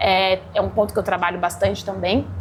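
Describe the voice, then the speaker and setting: Fairly quick speech from a woman, with noticeable background noise. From Brazil, interior (Guará). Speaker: chef and restaurant owner. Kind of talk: interview. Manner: energetic, agitated.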